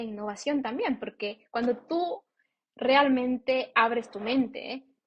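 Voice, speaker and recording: The speaker is a woman with a high pitch. She talks at a fairly slow pace. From Ecuador. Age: 20s. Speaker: podcast co-host. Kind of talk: interview. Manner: casual, lots of fillers.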